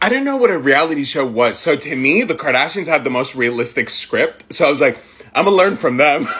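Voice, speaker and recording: A man speaks in an animated tone with lively intonation, fairly high pitch and a fairly quick pace. Background noise is noticeable. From Middle East (Jordan, Saudi Arabia). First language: Arabic. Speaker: content creator. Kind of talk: storytime monologue. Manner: casual, filler-heavy.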